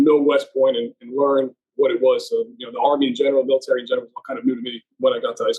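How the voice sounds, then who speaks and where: A man speaks with a Northeast US accent. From US Northeast, central New Jersey. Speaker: army reservist and healthcare manager. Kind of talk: podcast interview. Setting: podcast recording.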